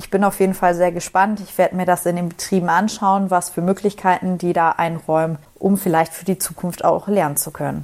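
A woman speaks at a fairly quick pace in a fairly low pitch with monotone, flat intonation. Her loudness swings widely. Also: hardly any pauses. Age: 20s. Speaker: trainee union secretary. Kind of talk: pre-recorded voice message.

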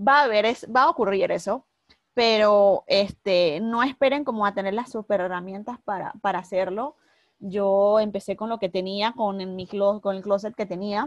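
A woman with a plain, everyday voice speaks at a moderate pace and medium pitch, with ordinary pitch variation. The sound is dry and close with no echo, against a quiet background. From Panama, Panama City. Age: 30s. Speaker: fashion blogger. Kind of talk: interview.

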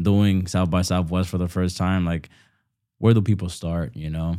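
Over a silent background in a very clean recording, a man with a Bronx accent speaks fairly quickly in a very deep, low pitch. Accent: New York, Bronx. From New York, the Bronx. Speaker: podcast host. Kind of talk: casual chat.

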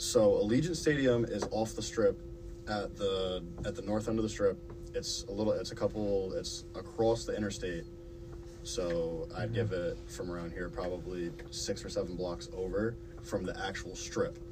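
A man speaks at a moderate pace in a very deep, low pitch with very wide pitch swings. The recording has audible room echo and noticeable background noise. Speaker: student podcast host. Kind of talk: casual chat.

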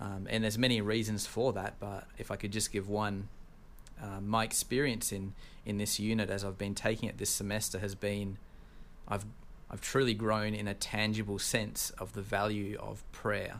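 Fairly low in pitch, a man with an Australian accent speaks at a moderate pace in a monotone, flat delivery. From Tasmania, Australia. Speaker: seminary student. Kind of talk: casual interview.

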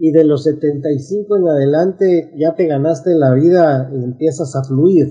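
Over music in the background, a man talks in a fairly high pitch at a very slow pace with hardly any pauses. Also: fairly even intonation. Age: 60s. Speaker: business coach. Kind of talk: interview.

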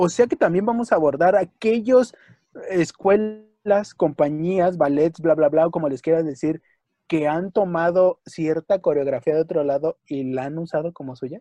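A man with a high pitch and a dark, mellow tone talks at a moderate pace with ordinary pitch variation. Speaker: podcast co-host, folk dancer. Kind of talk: casual chat. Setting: home.

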